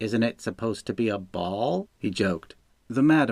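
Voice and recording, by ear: Natural-voiced reading aloud, its intonation lively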